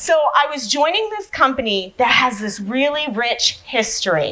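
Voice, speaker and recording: A woman talks with an American accent at a moderate pace. Her tone is animated and her intonation lively. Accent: Massachusetts (Boston) accent, comes and goes. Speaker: sales enablement professional, conference speaker. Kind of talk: conference talk.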